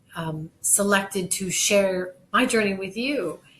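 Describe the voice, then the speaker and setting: A woman talks at a very slow pace. Her voice is somewhat breathy. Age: 60s. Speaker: kidney donor. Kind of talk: personal testimony.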